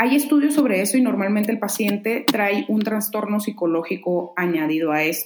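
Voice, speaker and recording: A woman with a plain, everyday voice, medium pitch, lively intonation and a moderate pace. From Mexico, Mexicali (Baja California). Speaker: urologist. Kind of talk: interview.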